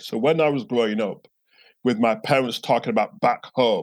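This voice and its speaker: A man with a Yorkshire accent and ordinary pitch variation. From northern England, Bradford. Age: 50s. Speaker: theologian and professor. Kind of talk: interview. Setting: at home, remote call.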